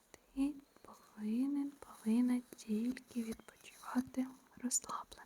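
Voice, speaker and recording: A woman with a high, soothing voice speaks very slowly in a flat monotone. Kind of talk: ASMR relaxation video, whispered personal attention. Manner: whispered, soothing.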